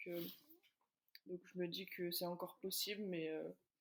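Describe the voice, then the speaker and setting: A woman's voice sits at a medium pitch with monotone, flat intonation. She speaks fairly slowly. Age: 20s. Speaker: professional basketball player. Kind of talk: interview. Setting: podcast. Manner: hesitant, many fillers.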